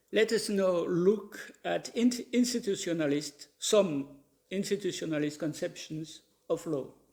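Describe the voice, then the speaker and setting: A man with a French accent, high in pitch, at a fairly slow pace. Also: ordinary pitch variation. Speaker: professor of legal philosophy. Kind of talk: lecture. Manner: reading from a paper, formal.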